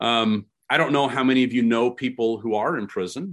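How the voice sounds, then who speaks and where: A plain, everyday voice with an American accent moves at a moderate pace with lively intonation over a quiet background. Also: man. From California. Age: 40s. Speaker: pastor. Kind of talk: sermon. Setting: video call.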